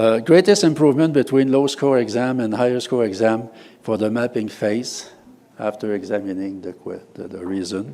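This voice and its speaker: The speaker talks at a moderate pace with a French accent, the loudness rising and falling widely. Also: man, medium pitch for a man, ordinary pitch variation. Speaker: university professor and researcher. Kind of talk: conference presentation. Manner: halting, many fillers.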